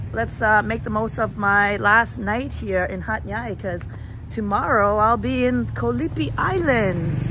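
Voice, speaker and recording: Noticeable background noise accompanies talking at a fairly slow pace. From Canada. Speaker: travel livestreamer. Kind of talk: casual live vlog.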